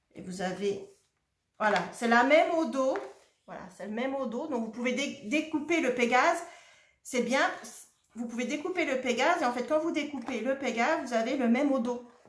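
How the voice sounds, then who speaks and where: In a room with audible echo, a woman speaks in a high, animated voice at a moderate pace. Her pitch varies in an ordinary way, and long pauses come often. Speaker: shop owner presenting craft products. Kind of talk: product presentation video.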